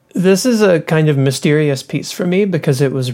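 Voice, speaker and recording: With an American accent, a woman speaks in a dark, mellow tone with ordinary pitch variation. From US South, Louisville, Kentucky. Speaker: composer and percussionist. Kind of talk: interview about her music. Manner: hesitant with fillers.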